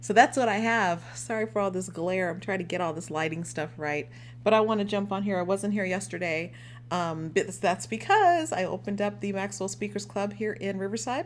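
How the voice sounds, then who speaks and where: At a fairly quick pace, a woman speaks with a medium pitch and vocal fry. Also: lively intonation. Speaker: life coach. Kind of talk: live stream talk. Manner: animated.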